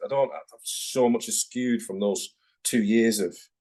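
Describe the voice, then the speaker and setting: A man with a Manchester accent. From northern England, Manchester. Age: 40s. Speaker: tattoo artist. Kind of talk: casual interview chat. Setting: video call.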